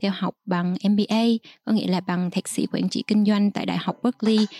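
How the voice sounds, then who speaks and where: A woman with a dark, mellow tone speaks at a very fast pace with fairly even intonation, in a dry, close sound with no echo. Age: young. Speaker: podcast host. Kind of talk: interview.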